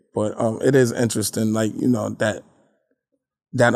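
Fairly low in pitch, a man speaks with an American accent and monotone, flat intonation. The recording is very clean, with a silent background. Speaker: spoken word poet. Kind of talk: casual interview.

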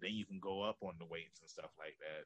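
His tone comes across bright and sharp. The man talks with an American accent. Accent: Southern, sounds country to outsiders. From Norfolk, Virginia. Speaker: professional wrestler and podcast host. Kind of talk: casual interview chat.

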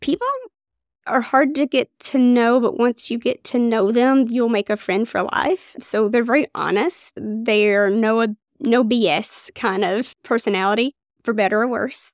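In a very clean recording with a silent background and a dry, close sound with no echo, a woman speaks at a fairly slow pace in an Appalachian accent. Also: fairly high pitch for a woman, ordinary pitch variation. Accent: Appalachian Kentucky. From Eastern Kentucky, Floyd County. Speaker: OBGYN physician. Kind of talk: interview conversation.

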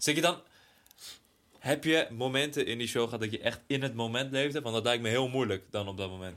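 This man has a plain, everyday voice at a medium pitch with ordinary pitch variation. He talks at a fairly quick pace. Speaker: podcast co-host. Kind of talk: casual chat.

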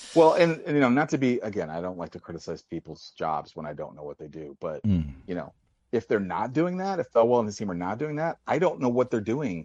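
Over a quiet background, a man with an American accent talks very fast at medium pitch, with very wide pitch swings and big swings in loudness. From US, St. Louis. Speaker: caller. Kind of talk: phone-in call. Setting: phone call.

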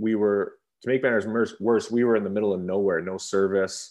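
A man speaks with a western Canadian accent. He keeps a moderate pace and fairly even intonation. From Canada, Revelstoke, British Columbia. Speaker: retired professional hockey player. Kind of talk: interview.

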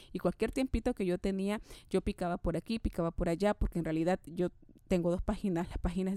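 Her fairly low-pitched voice has a dark, mellow tone as the woman talks at a fairly quick pace, recorded dry and close with no echo. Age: 30s. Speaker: podcast host, motivational speaker. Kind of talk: solo motivational podcast monologue. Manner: energetic, enthusiastic.

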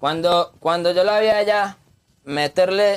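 High-pitched for a man, his voice moves at a fairly slow pace with ordinary pitch variation. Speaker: urban music artist. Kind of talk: casual chat.

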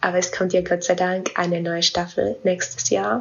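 A woman speaks in a Franconian accent at a medium pitch. Her pace is moderate, and there is noticeable background noise. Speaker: listener. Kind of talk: voice message.

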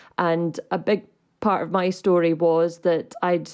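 A woman with a Scottish accent talks at a fairly slow pace with fairly even intonation. The background is quiet. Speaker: electric vehicle advocacy group director. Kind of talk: casual chat. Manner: hesitant, many fillers.

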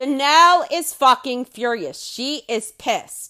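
On a very clean recording with a silent background, a woman projects a raised, high-pitched voice with a bright, sharp tone and lively intonation. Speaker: commentary podcaster. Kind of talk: angry rant of a commentary. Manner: loud, fired up, gleefully profane; sarcastic and scornful.

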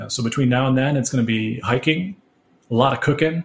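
A man with an American accent speaks in a normal speaking voice with fairly even intonation. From Connecticut, US. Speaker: lighting designer. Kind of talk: interview.

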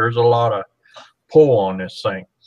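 In an ordinary speaking voice, a man talks at a medium pitch with ordinary pitch variation against a quiet background. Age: 60s. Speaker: boating safety co-host. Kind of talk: casual chat.

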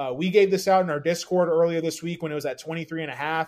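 A man with a plain, everyday voice speaks at a fairly high pitch with ordinary pitch variation, on a very clean recording with a silent background. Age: 30s. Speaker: fantasy football analyst. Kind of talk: casual chat.

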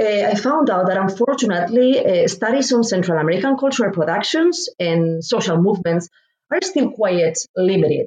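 With a Spanish accent, a woman speaks at a moderate pace in a medium pitch, her loudness very even while her pitch swings very widely. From Spain. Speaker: professor. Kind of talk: interview. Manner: halting.

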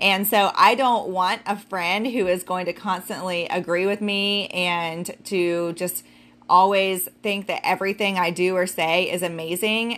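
In a very clean recording with a silent background, a plain, everyday voice speaks with fairly even intonation. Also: woman, medium pitch for a woman, fairly slow pace. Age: 40s. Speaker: podcast host and business owner. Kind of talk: solo podcast talk. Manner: casual, with fillers.

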